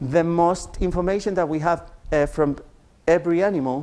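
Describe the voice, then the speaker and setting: With a Spanish accent, a man speaks at a moderate pace in a dark, mellow tone and fairly even intonation. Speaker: genetics researcher. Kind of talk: lecture. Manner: halting.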